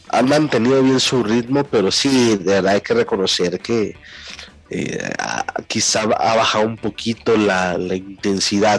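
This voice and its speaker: Over noticeable background noise, a man speaks at a fairly slow pace in a medium pitch with ordinary pitch variation. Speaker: wrestling podcast co-host. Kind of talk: casual chat.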